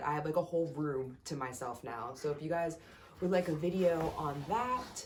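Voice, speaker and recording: There is audible room echo around a woman whose voice sits at a fairly low pitch. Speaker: yoga instructor and massage therapist vlogger. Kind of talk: casual vlog. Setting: home room. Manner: animated.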